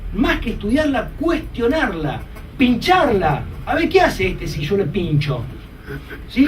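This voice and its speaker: Amid noticeable background noise and audible room echo, a man speaks at an extremely high pitch with very wide pitch swings. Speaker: lawyer lecturer. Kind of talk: lecture. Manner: fast; animated.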